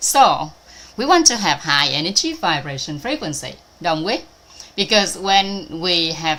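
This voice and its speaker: With a Vietnamese accent, a woman speaks at a fairly slow pace with lively intonation over noticeable background noise. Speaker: spiritual teacher. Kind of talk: online talk. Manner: halting, many fillers.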